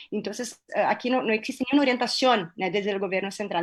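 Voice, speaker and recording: A woman with a Brazilian accent and fairly even intonation. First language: Portuguese (speaking Spanish). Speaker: panel moderator. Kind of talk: academic panel discussion. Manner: hesitant, many fillers.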